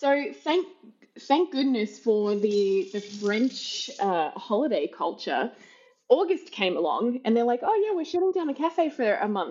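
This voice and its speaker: A woman's high voice rises and falls in very wide pitch swings as she talks at a fairly slow pace. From Australia. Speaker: hospitality professional. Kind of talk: casual interview chat. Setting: remote recording.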